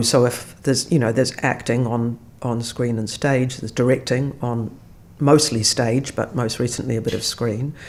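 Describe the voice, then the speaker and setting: Her voice sits very deep and low. This woman talks at a moderate pace. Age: 60s. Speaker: actor. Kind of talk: casual chat.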